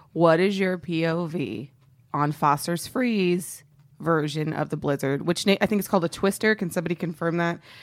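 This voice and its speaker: A woman with an American accent and a plain, everyday voice speaks at a moderate pace, her fairly low pitch carrying ordinary variation, in a very clean recording with a silent background. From Texas, Dallas (Oak Cliff). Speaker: comedian. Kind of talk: casual chat.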